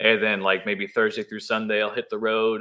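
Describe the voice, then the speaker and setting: He has a normal speaking voice, fairly low in pitch, with ordinary pitch variation. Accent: American. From Hudson Valley, New York. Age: 20s. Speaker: musician and songwriter. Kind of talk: interview.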